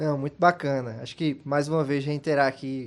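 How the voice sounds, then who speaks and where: A Pernambuco accent from a man with a fairly high pitch, at a moderate pace with fairly even intonation, over a quiet background. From Brazil, Pernambuco interior (Bezerros). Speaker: political strategist and scientist. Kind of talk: interview. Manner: many fillers, hesitant.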